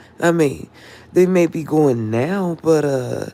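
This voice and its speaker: A woman speaks at a fairly low pitch with lively intonation over noticeable background noise. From Philadelphia, North Philly. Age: 50s. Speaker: livestreamer. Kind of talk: casual livestream monologue. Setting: live stream. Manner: rough-sounding talk.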